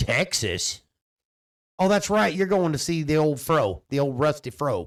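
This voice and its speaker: A man's fairly high voice at a fairly slow pace, lively in intonation and very even in loudness. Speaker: hunter and podcast host. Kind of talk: casual chat. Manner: loud when excited. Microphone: echo.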